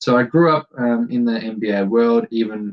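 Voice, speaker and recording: A man is speaking with an American accent. His pitch shows ordinary variation. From Germany. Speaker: podcast host. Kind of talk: casual solo podcast introduction. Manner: halting, many fillers.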